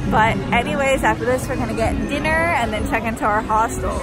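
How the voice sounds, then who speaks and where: A woman talks at a fairly quick pace over loud background music. The sound itself is dry, with no echo. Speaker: travel vlogger. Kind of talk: casual vlog chat. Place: street. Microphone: phone near.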